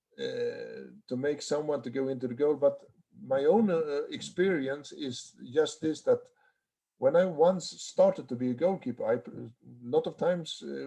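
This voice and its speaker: A man in a Swedish accent at a moderate pace. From Sweden. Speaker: handball goalkeeper coach. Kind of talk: online seminar Q&A. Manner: halting.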